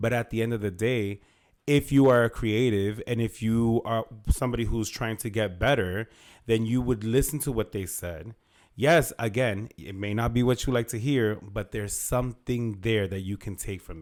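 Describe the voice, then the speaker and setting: A man with a medium pitch speaks at a moderate pace, his loudness swinging a lot. The recording is very clean, with a silent background. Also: ordinary pitch variation. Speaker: podcast co-host. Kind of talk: casual chat.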